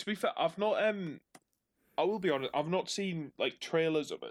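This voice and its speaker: A man speaks with a Northumbrian accent. His tone is playful and his pace moderate. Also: dry, close sound with no echo. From northern England, Northumberland. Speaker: co-host. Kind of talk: casual chat about video games. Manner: joking, playful.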